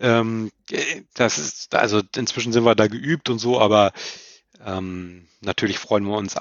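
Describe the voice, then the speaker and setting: Here is a man with an unremarkable speaking voice, pitched fairly low. He speaks at a fairly slow pace with fairly even intonation. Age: 30s. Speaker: football commentator and journalist. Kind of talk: casual interview chat.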